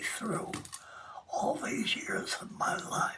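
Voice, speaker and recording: Noticeable background noise fills the recording. A woman whispers through it. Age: 90s. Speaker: quilt artist. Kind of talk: casual interview. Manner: hesitant, with frequent fillers.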